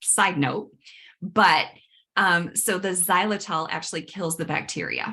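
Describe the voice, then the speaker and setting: Bright, sharp tone from a woman at medium pitch with fairly even intonation. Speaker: dental hygienist and myofunctional therapist. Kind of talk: webinar workshop presentation. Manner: fast.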